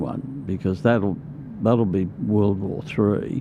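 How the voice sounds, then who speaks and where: A man speaks with an Australian accent. Noticeable background noise runs behind him. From Queensland, Australia. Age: 70s. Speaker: union organiser. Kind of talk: interview conversation. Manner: halting.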